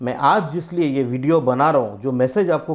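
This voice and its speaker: This man has a fairly high pitch with ordinary pitch variation. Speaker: business owner presenting product. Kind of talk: product pitch video. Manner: hesitant, frequent fillers.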